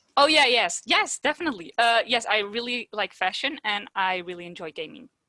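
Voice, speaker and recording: In a dry, close sound with no echo, a woman's bright, sharp voice sits fairly high, with very wide pitch swings and big swings in loudness. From Netherlands. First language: Dutch. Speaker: podcast host, childhood cancer survivor. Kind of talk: casual interview chat.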